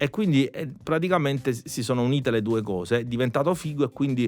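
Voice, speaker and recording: A plain, everyday voice speaks at a fairly quick pace. The recording is very clean, with a silent background. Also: man. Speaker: musician. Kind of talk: podcast conversation.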